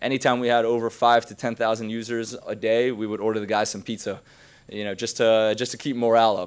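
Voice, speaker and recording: This man talks very fast in a monotone, flat delivery. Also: medium pitch for a man. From Queens, New York. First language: not English. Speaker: entrepreneur, keynote speaker. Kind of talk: keynote talk. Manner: casual, many filler ums.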